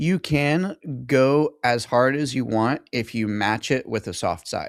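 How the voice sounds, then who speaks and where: A man's normal speaking voice at a medium pitch with ordinary pitch variation, dry and close with no echo, on a very clean recording with a silent background. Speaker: sales coach. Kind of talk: call review coaching session.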